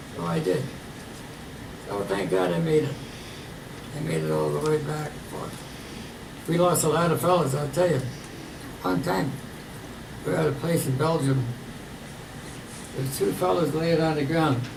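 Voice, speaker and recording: A man with a fairly high pitch and lively intonation talks at a moderate pace with long, frequent pauses, with audible room echo and noticeable background noise. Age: 90s. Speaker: war veteran. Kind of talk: testimony. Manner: halting.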